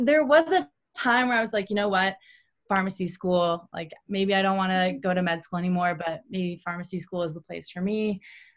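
At a fairly quick pace, a woman with an American accent talks in a normal speaking voice of medium pitch and ordinary pitch variation. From Ohio, Cleveland area. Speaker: running coach and former pro runner. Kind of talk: interview.

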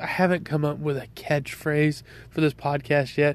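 A fairly high-pitched man with a Southern US accent. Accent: Southern US (Georgia). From US South, Georgia. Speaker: podcast host, off-road parts business owner. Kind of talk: solo monologue podcast introduction. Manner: casual, with frequent fillers.

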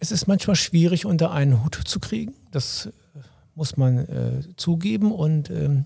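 A man's somewhat breathy voice with a dark, mellow tone at a fairly slow pace. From Lower Saxony, Wolfsburg. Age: 50s. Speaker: local mayoral candidate, police officer. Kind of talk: interview.

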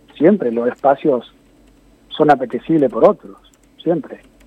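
Here is a man speaking. His intonation is lively. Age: 60s. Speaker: market administrator. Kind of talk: interview. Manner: halting.

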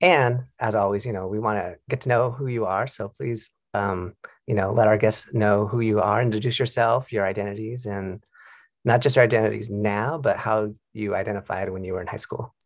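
A man with a plain, everyday voice speaks at a moderate pace, his pitch fairly low with ordinary variation. The recording is very clean with a silent background. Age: 40s. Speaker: school counselor and podcast host. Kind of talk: casual interview.

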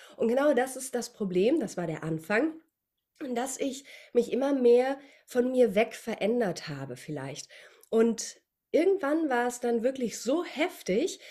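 Speaking at a fairly slow pace with long, frequent pauses, a woman uses a high pitch and very wide pitch swings. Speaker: voice coach and dubbing actress. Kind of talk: interview.

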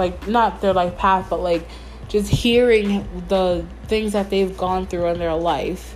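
A woman with an American accent talks at a very slow pace. Room echo is audible. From New York, Mount Vernon. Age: 20s. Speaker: podcaster. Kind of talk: casual solo monologue. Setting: home bedroom.

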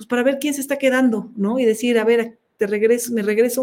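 In a plain, everyday voice, a woman talks at a fairly quick pace with fairly even intonation. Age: 50s. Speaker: open-water swimmer. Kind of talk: interview.

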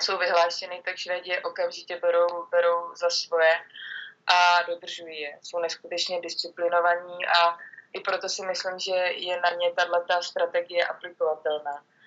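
A woman speaks at a moderate pace in a fairly low pitch. Her intonation is flat and monotone. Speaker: handball goalkeeper. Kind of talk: interview.

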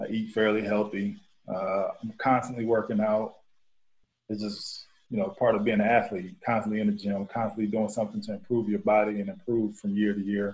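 A man with an American accent speaks at a moderate pace in a fairly low pitch, his intonation flat and monotone. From Cleveland, Ohio. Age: 30s. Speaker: professional basketball player. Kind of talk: casual interview.

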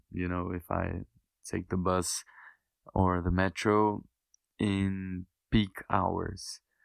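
A man with a Portuguese accent, very deep and low in pitch, flat and monotone, at a very slow pace with long, frequent pauses, in a very clean recording with a silent background and a dry, close sound with no echo. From Brazil, a smaller city. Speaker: medical student. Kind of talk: casual interview chat.

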